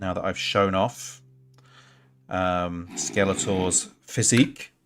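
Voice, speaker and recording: A man with an English accent, fairly low pitch, ordinary pitch variation and a very slow pace. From England. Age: 40s. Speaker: gaming streamer. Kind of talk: casual live-stream commentary. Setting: live stream. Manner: halting, many fillers.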